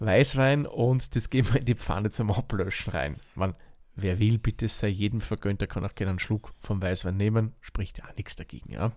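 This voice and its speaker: A man with an Austrian accent talks at a fairly low pitch with ordinary pitch variation. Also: moderate pace. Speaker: cooking podcast host. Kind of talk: casual chat and recipe explanation.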